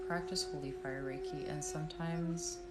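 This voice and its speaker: A woman speaks in a calm, soothing tone at a moderate pace, with audible room echo and noticeable background noise. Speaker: reiki practitioner. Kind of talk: live-stream energy healing session. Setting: live stream.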